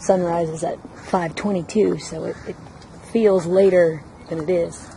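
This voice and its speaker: A soft-spoken woman whispers over noticeable background noise. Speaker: travel vlogger. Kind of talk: casual vlog narration. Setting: outdoors in a garden. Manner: whispering softly.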